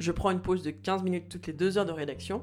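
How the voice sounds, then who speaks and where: A woman's fairly low voice with vocal fry. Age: 30s. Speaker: podcast host and doctoral student. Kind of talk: personal audio diary narration.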